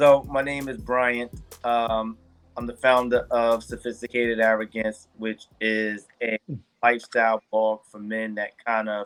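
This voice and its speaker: A man with a New York accent speaks at a fairly slow pace in a medium-pitched, flat monotone, with big swings in loudness and a dry, close sound with no echo. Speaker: men's lifestyle blogger. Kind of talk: interview.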